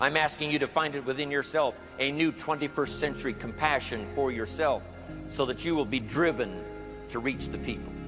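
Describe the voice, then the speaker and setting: A man talks at a moderate pace and a medium pitch while music plays in the background. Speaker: motivational speaker. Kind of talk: motivational speech.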